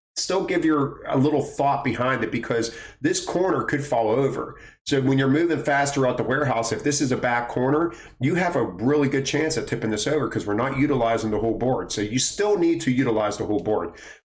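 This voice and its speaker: Somewhat breathy and fairly high, a man's voice moves at a fairly quick pace with an animated tone, lively intonation and very even loudness amid audible room echo. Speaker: warehouse trainer and video creator. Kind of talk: tutorial. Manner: fast.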